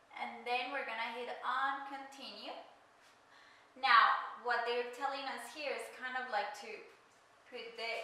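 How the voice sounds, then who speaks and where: Over noticeable background noise and audible room echo, a woman talks at a fairly slow pace in a high voice. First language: not English. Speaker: craft YouTuber. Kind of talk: tutorial.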